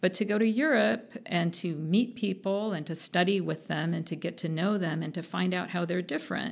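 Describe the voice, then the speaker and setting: Speaking with hardly any pauses, a woman with an American accent uses a fairly low pitch and vocal fry. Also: ordinary pitch variation, moderate pace. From US West Coast (Orange County, California). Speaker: economics professor. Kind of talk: casual interview.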